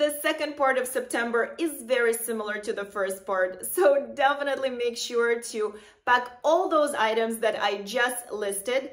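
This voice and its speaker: The speaker moves at a moderate pace with hardly any pauses and ordinary pitch variation. The background is quiet. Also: woman, high pitch for a woman. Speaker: fashion vlogger. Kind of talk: casual vlog tips. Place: home room.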